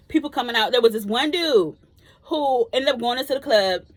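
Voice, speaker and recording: This woman's voice is loud and animated. She moves at a fairly quick pace, and her pitch swings very widely. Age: 30s. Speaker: vlogger. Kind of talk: casual chat.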